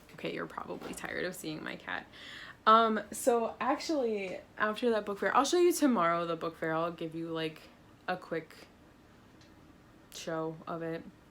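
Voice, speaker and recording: Using a bright, sharp tone at a medium pitch with ordinary pitch variation, a woman speaks at a moderate pace with long, frequent pauses and big swings in loudness. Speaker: teacher vlogger. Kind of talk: casual vlog. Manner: animated.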